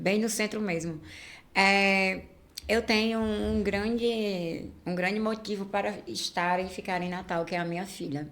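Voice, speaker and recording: A woman at medium pitch speaks at a fairly slow pace with fairly even intonation, and the room echo is audible. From Rio de Janeiro, Brazil. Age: 30s. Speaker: influencer and activist. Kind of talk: casual chat.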